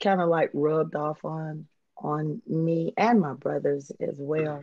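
Against a quiet background, a woman speaks very slowly at a fairly low pitch in a dark, mellow, monotone, flat voice, the sound dry with no echo. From Huntsville, Alabama, US South. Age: 50s. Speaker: former drug dealer sharing life story. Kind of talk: interview testimony. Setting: video call. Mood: reflective, candid. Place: home room. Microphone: video call.

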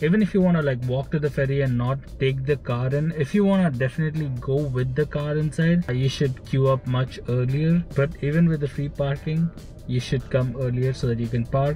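Faint music plays in the background as a man talks at a fairly quick pace with fairly even intonation. His loudness stays very even in a dry sound with no echo. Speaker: travel vlogger. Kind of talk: casual vlog chat. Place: car. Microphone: phone near.

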